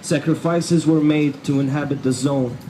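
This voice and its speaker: A man talks with fairly level intonation. Clear background noise sits behind him. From Egypt, raised in Dubai. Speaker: hip hop artist. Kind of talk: spoken word poetry performance. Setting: outdoors, rally. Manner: rhythmic, rhyming.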